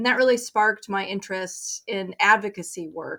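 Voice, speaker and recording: An unremarkable speaking voice at a moderate pace, with ordinary pitch variation, on a very clean recording with a silent background. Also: woman. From Colorado. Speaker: nonprofit director. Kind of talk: interview.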